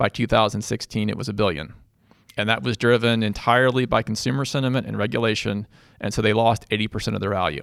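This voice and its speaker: A man's fairly low voice with vocal fry, ordinary pitch variation and a very fast pace. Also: very clean recording, silent background. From Louisville, Kentucky. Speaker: growth equity investor. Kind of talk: casual interview. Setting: studio.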